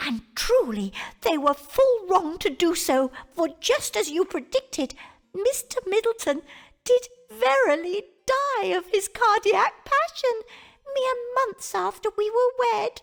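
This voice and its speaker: Doing a put-on character voice, a woman speaks squeakily at an extremely high pitch, slowing to a fairly slow pace and swinging her pitch very widely. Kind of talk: Elizabethan English. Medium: video game. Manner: sweet, falsely innocent.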